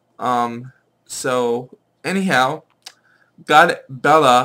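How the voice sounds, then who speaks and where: A bright, sharp tone from a man at a medium pitch. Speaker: pagan religion vlogger. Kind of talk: casual talk to camera.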